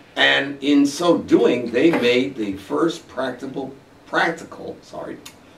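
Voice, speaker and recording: A man speaks at a medium pitch with lively intonation. Audible room echo and noticeable background noise surround him. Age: 70s. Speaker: local historian. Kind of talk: interview. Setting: studio. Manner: halting with fillers.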